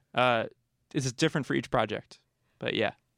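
The recording is very clean, with a silent background and a dry, close sound free of echo. A man speaks at medium pitch with ordinary pitch variation. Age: 20s. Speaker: cartoonist and comics journalist. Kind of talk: radio interview. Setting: radio studio. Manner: casual, halting with many fillers.

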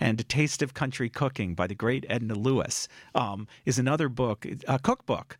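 A plain, everyday voice from a man, medium in pitch, fairly quick and lively in intonation, on a very clean recording with a silent background. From US Northeast, Cambridge, Massachusetts. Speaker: author. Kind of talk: radio interview. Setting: radio studio.

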